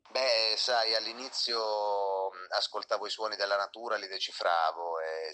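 A man talks at a moderate pace. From Calabria, Italy (Acri, province of Cosenza). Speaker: singer-songwriter. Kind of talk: interview. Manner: halting, many repetitions and fillers.

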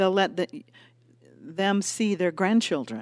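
An unremarkable speaking voice at a moderate pace, in a very clean recording with a silent background. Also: woman. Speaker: podcast co-host. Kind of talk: casual co-hosted health talk.

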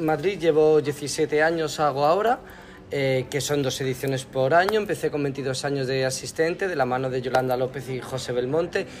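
A man's fairly high voice at a moderate pace, with ordinary pitch variation and music in the background. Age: 30s. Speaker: makeup artist. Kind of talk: interview.

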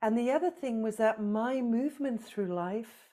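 A woman's fairly high-pitched, dark, mellow voice at a fairly slow pace, with ordinary pitch variation. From South Africa. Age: 50s. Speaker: trauma-healing organisation leader. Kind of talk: interview. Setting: video call.

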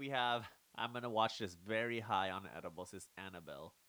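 A man talks in a plain, everyday voice at a moderate pace. His intonation is lively. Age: 20s. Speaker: podcast host. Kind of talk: casual chat.

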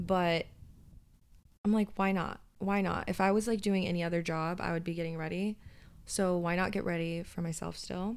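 Fairly even intonation at a moderate pace, in an American accent. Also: woman. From US, Southern California (LA County). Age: 20s. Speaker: podcast co-host. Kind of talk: casual chat. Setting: home office.

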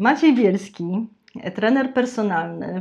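In an unremarkable speaking voice, a woman talks at a moderate pace with ordinary pitch variation over a quiet background. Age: middle-aged. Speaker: podcast host. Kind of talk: interview. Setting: studio.

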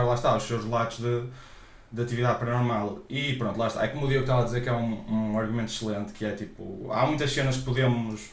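Over noticeable background noise and audible room echo, a man with a European Portuguese accent talks at a very fast pace, with medium pitch and fairly even intonation. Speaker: podcast co-host. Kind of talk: casual chat.

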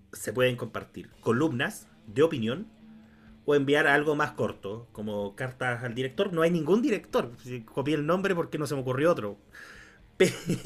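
With an ordinary speaking voice, a man speaks at a moderate pace, his pitch fairly high and his intonation lively. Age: 20s. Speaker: podcast co-host, law graduate. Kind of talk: casual chat.

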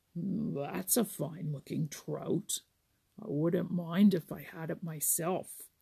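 A rumbling put-on character voice at middle pitch and a fairly slow pace.

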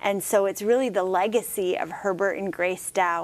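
A woman at medium pitch and moderate pace, on a very clean recording with a silent background. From US Midwest, Michigan. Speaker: public garden staff. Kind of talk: casual interview.

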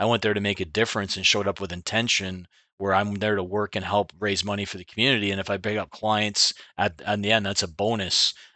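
A man with a slight Canadian accent, talking at a very fast pace in a monotone, flat delivery. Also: fairly low pitch for a man. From Ontario, Canada (Clinton). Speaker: insurance agency owner. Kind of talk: interview. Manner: conversational, uses many fillers.

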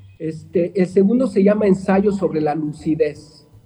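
A man speaks at a high pitch with ordinary pitch variation. His tone is dark and mellow. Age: 50s. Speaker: tourism board director. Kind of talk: podcast interview.

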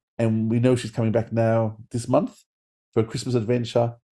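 A man at medium pitch with a dark, mellow tone and an Australian accent. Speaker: podcast co-host. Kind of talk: interview. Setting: video call.

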